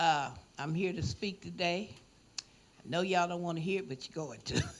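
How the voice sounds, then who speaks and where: With vocal fry and a fairly low pitch, a woman talks at a fairly quick pace, her loudness swinging widely. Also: ordinary pitch variation. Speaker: public commenter. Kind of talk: public comment at board meeting. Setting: public board meeting. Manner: animated.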